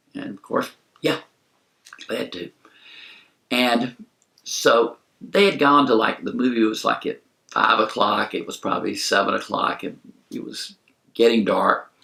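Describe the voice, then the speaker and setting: Speaking at a fairly slow pace with long, frequent pauses, a man shows big swings in loudness. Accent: Southern US. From US South, South Carolina. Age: 70s. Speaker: movie reviewer. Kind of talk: storytelling. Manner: casual, conversational.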